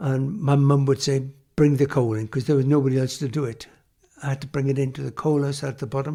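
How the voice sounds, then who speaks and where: A man with a South Wales Valleys accent at a very fast pace, his fairly high voice dark, mellow and somewhat breathy, with fairly even intonation. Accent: Welsh English (South Wales valleys). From South Wales, Hirwaun near Aberdare. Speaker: former coal miner. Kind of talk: oral history interview. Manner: halting.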